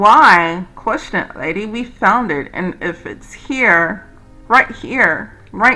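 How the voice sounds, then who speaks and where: Over music in the background, a raised, projected voice carries lively intonation. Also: woman. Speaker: video game let's player. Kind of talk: reading game dialogue aloud. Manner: stumbles over words when reading.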